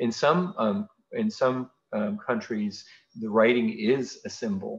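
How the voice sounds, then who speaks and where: Very wide pitch swings mark this man's speech. His pitch sits in the middle range. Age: 40s. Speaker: physician. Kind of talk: lecture. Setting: video call. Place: home room. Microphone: webcam.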